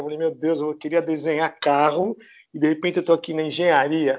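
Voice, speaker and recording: A man with a normal speaking voice and fairly high pitch talks at a fairly quick pace with fairly even intonation. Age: 60s. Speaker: architect. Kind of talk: casual interview.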